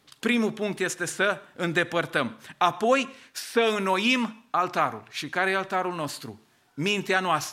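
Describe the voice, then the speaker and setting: A raised, projected voice comes through at a fairly slow pace. Its pitch varies in an ordinary way. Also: man. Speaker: pastor. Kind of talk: sermon. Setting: church.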